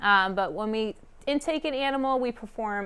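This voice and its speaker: Speaking in an American accent, a woman keeps a moderate pace. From Massachusetts. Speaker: marine biologist. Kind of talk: presentation. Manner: many fillers (um, uh).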